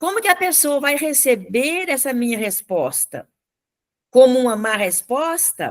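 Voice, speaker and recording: A woman's high voice swings very widely in pitch. Her pace is fairly slow. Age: 70s. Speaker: radio co-host. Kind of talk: casual chat.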